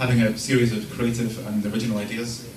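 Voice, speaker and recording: There is noticeable background noise in this clip. A man talks at a fairly quick pace. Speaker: stand-up comedian. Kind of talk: stand-up comedy set. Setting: live comedy venue.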